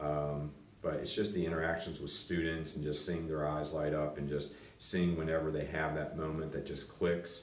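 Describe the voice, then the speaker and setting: With an American accent, a man speaks at a moderate pace in a very deep, low pitch and flat, monotone intonation, with audible room echo and noticeable background noise. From western Pennsylvania, Latrobe. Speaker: school administrator. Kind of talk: interview, casual chat. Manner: hesitant with frequent fillers.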